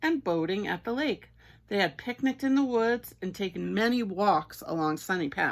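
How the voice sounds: A natural reading voice is delivered with lively intonation.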